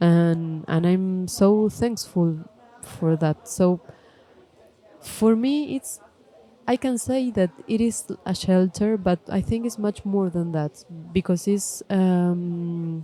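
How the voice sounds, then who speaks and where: Speaking very slowly, the voice carries a non-native accent. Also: woman, medium pitch for a woman, ordinary pitch variation. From Argentina, Córdoba. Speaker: film director. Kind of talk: live podcast interview. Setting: stage with audience at film festival. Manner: halting, many fillers.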